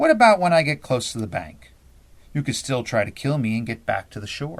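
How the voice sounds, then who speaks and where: Putting on a croaky character voice at a medium pitch, a man talks at a fairly quick pace on a very clean recording with a silent background. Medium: read story.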